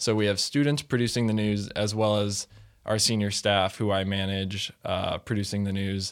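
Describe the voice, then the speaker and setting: A man's fairly low voice with an American accent, a plain, everyday voice, at a fairly slow pace. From Missouri, St. Louis. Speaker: student TV station manager. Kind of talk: casual interview.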